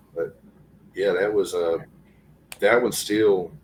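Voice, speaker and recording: A man speaks at a very slow pace. Noticeable background noise runs beneath him. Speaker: guest sharing encounters. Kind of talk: casual interview, personal testimony.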